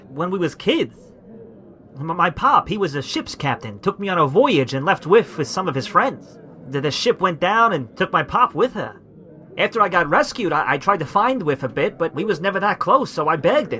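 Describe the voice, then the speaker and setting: A man puts on a gruff, high-pitched character voice with very wide pitch swings. He moves at a moderate pace. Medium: audio drama. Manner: gruff, stammering, ungrammatical.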